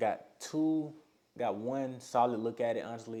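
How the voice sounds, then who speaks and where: The speaker is a man with a medium pitch. His tone is dark and mellow, with ordinary pitch variation. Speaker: college high jumper and vlogger. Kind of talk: casual vlog recap. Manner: fast.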